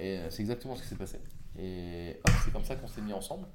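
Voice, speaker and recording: Here a man talks with lively intonation at a moderate pace. Room echo is audible. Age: 30s. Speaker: entrepreneur and podcast host. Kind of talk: casual interview.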